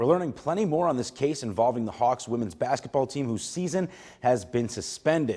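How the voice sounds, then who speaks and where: A man with an ordinary speaking voice speaks at a fairly high pitch with lively intonation. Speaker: TV sports anchor and reporter. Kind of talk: TV sports news anchor and reporter delivery.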